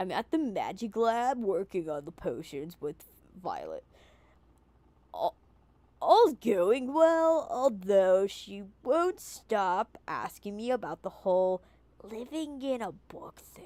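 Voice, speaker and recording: A woman's put-on character voice, fairly high in pitch with very wide pitch swings, at a fairly slow pace on a very clean recording with a silent background. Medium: virtual streamer. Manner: chatty, lightly sardonic.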